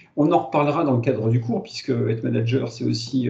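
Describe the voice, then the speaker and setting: With a dark, mellow tone and vocal fry, a man speaks fairly quickly at a medium pitch with ordinary pitch variation, and audible room echo is present. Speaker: lecturer and consultant. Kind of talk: lecture. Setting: webinar. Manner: fast; halting, many fillers.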